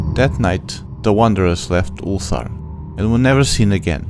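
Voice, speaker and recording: Music plays in the background as a man speaks at a moderate pace. His pitch is very deep and low, and his intonation is lively. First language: not English. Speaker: amateur audiobook reader. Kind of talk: horror short story audiobook reading.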